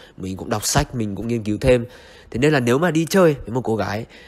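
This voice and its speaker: At a very fast pace, a man talks in a medium pitch. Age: 20s. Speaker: vlogger. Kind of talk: vlog monologue. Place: home room. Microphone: handheld.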